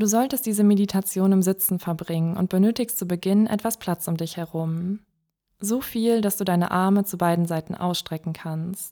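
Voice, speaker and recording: In a very clean recording with a silent background, a woman of medium pitch speaks in a dark, mellow, gentle, calm tone with fairly even intonation. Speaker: meditation guide. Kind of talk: guided meditation. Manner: calm, slow, soothing; gentle, clear instructions.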